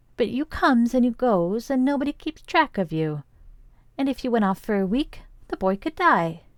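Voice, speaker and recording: In a very clean recording with a silent background, a female-sounding put-on character voice speaks at a moderate pace and high pitch. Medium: read story.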